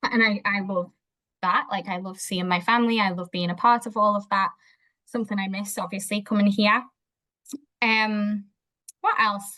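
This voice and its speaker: With a Liverpool accent, a woman talks at a moderate pace in a bright, sharp tone, her medium-pitched voice flat and monotone, broken by long, frequent pauses. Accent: Liverpool (Scouse) English. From Liverpool, England. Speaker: behaviour analyst. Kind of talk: interview conversation. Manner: hesitant, with fillers.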